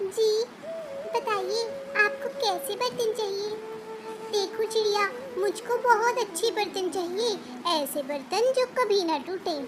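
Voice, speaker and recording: A cartoonish character voice from a woman, extremely high in pitch, fairly slow with long, frequent pauses, over clear background noise. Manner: polite, earnest.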